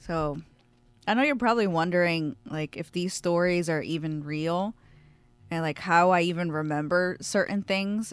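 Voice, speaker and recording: With an American accent, a woman speaks at a moderate pace in a fairly low pitch, with ordinary pitch variation. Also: very clean recording, silent background. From South Jersey, Camden. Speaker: podcast host. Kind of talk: casual monologue. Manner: casual, conversational.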